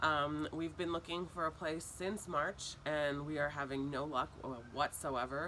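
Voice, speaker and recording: Speaking at a fairly slow pace, a woman with a very deep, low pitch has a bright, sharp tone, vocal fry and very wide pitch swings. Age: 30s. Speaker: parent facing eviction. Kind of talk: interview testimony. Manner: hesitant, many fillers.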